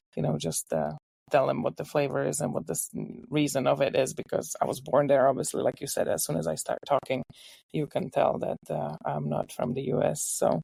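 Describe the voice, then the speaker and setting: A fairly quick delivery with a Czech accent, in a dry, close sound with no echo. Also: woman. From Czech Republic, Ostrava. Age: 50s. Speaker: home baker. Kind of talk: casual interview.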